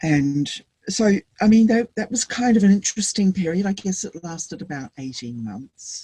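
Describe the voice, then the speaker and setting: Speaking in a New Zealand accent at a moderate pace, a woman with a medium pitch and a dark, mellow, somewhat breathy tone shows very wide pitch swings and big swings in loudness, in a dry, close sound with no echo. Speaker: Buddhist teacher. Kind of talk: interview answer.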